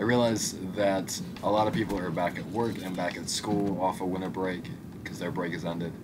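A man speaks fairly quickly in a very deep, low pitch. Noticeable background noise is present. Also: fairly even intonation. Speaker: gaming YouTuber. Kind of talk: casual gameplay commentary. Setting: home recording. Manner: casual, rambling with fillers.

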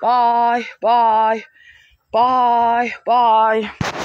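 Someone puts on a character voice with a fairly high pitch and monotone, flat intonation. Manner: playful, cutesy.

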